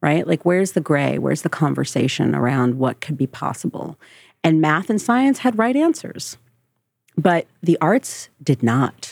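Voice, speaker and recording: A woman with an American accent and a very deep, low pitch, with vocal fry, very wide pitch swings and a fairly slow pace, in a very clean recording with a silent background. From New Jersey, US. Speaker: diversity and inclusion specialist. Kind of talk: interview.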